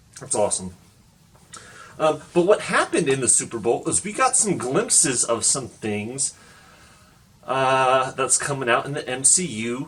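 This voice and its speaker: A man speaks at a medium pitch and a moderate pace, with ordinary pitch variation and long, frequent pauses. Noticeable background noise runs underneath. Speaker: comic book YouTuber. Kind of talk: casual vlog commentary. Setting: home recording. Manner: quieter than usual.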